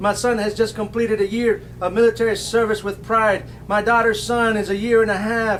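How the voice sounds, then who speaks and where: With an American accent, a man talks at a moderate pace in a high voice, with noticeable noise behind him. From South Texas. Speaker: poet. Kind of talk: poetry reading. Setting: bookstore poetry event.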